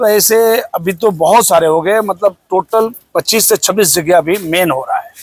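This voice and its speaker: With music playing behind him, a man speaks at a moderate pace in a high voice, the sound dry and close with no echo. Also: ordinary pitch variation. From Bihar, India. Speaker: Chhath festival organiser. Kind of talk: interview answer.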